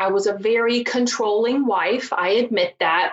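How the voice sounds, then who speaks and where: A woman in a Southern US accent, with ordinary pitch variation. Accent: Southern US, noticeable. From rural Virginia mountains, US. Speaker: divorce strategist and coach. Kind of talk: interview, conversational.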